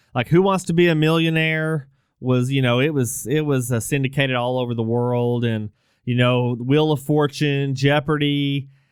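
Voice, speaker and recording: With a normal speaking voice and an American accent, a man talks at a fairly high pitch with ordinary pitch variation. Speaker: podcast host. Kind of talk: casual chat.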